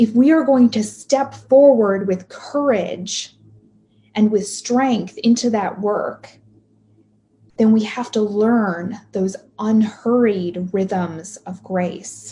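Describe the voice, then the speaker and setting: A woman's somewhat breathy, fairly high voice with a dark, mellow tone, at a very slow pace. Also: ordinary pitch variation. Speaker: pastoral minister. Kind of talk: sermon. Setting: video call.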